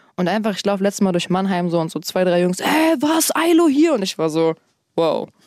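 Lively intonation comes at a moderate pace in a very clean recording with a silent background and a dry, close sound with no echo. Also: woman. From Berlin, Germany. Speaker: rapper. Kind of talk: casual interview chat.

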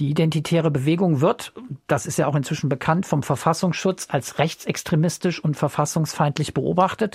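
A plain, everyday voice from a man at a fairly high pitch, with moderate pace, ordinary pitch variation and very even loudness. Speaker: radio podcast host. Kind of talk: casual discussion of listener feedback.

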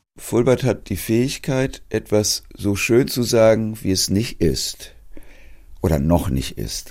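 A very slow male voice in a very clean recording with a silent background. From Hamburg, Germany. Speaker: theology professor. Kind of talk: interview.

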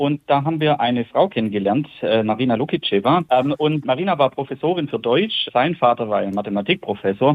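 A man with an unremarkable speaking voice talks at a fairly high pitch. His pace is fairly quick and his intonation lively, with hardly any pauses. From Germany, Calw area. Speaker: childhood pen pal. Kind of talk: interview.

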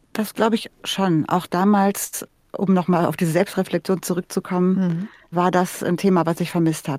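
On a very clean recording with a silent background, a woman talks at a moderate pace in monotone, flat intonation, the sound dry and close with no echo. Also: medium pitch for a woman. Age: 60s. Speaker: podcast host. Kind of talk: radio interview.

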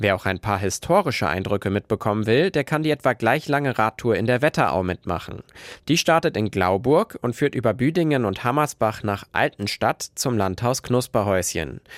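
In a plain, everyday voice at medium pitch, a man speaks at a moderate pace with lively intonation, the sound dry and close with no echo and the recording very clean with a silent background. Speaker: radio reporter. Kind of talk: news reading. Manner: clear, even, informative.

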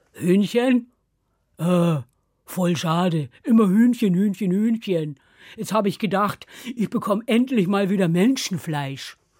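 A put-on character voice at a middle pitch, whiny in tone and fairly slow, on a very clean recording with a silent background. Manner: grumbling, whiny.

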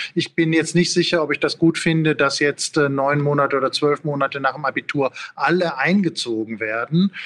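A man with a normal speaking voice, fairly high in pitch, at a moderate pace with ordinary pitch variation and very even loudness, the sound dry and close with no echo. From Ruhr area, Germany. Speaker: philosophy professor. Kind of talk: interview.

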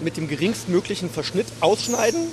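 A man speaks at a high pitch against noticeable background noise. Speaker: company co-owner. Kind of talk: interview. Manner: matter-of-fact.

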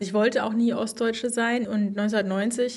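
A woman speaks at a fairly high pitch with fairly even intonation. Audible room echo can be heard. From East Germany. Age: 40s. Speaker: journalist. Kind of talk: interview.

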